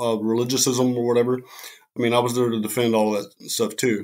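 A man talks with a normal speaking voice. His pitch is medium and his pace moderate. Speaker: military veteran and Wiccan cleric. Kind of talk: casual chat. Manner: casual.

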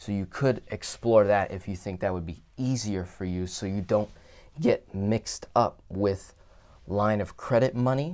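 Speech comes at a fairly slow pace in a normal speaking voice. Its pitch variation is ordinary. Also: man. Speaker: finance educator. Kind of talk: lecture. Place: office.

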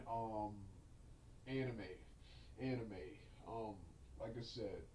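Speech comes at a very slow pace. Light background noise and audible room echo are present. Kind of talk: casual vlog chat. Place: home room.

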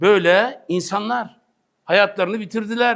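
A man with a high voice speaks in an animated tone at a fairly slow pace. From Turkey, Sakarya. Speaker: Islamic preacher. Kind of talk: religious talk.

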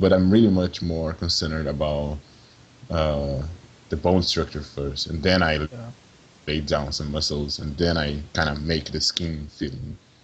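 Over noticeable background noise, a man talks at a fairly slow pace with a very deep, low pitch and fairly even intonation. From Brazil, Sao Paulo. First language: Portuguese. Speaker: video game character artist. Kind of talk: interview. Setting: call.

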